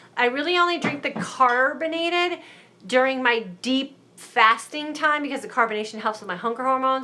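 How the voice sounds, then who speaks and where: Raising and projecting her voice, a woman speaks with a high pitch. Her pace is moderate and her pitch variation ordinary. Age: 50s. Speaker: mindset coach hosting live stream. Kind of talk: live stream Q&A reading viewer comments. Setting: live broadcast on Facebook and YouTube. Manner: casual, conversational.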